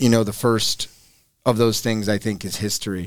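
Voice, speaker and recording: A man talks in a normal speaking voice. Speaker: author and river guide. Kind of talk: casual interview chat.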